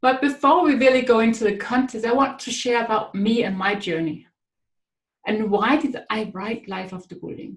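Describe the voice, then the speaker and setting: A woman with a Danish accent at a moderate pace, fairly high in pitch, with ordinary pitch variation and big swings in loudness. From Denmark. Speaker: author and speaker. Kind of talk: webinar talk. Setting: online webinar.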